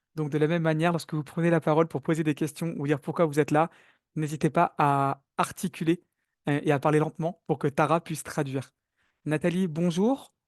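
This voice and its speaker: Fairly high-pitched, a man talks at a fairly quick pace with fairly even intonation. The sound is dry and close with no echo, over a quiet background. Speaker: webinar moderator. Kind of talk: online webinar moderation. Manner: fast.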